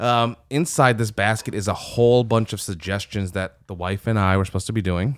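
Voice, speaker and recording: With an American accent, a man has a normal speaking voice, fairly low in pitch with ordinary pitch variation. He talks at a fairly quick pace with hardly any pauses. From Michigan. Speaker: podcast co-host, youth minister. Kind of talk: casual chat.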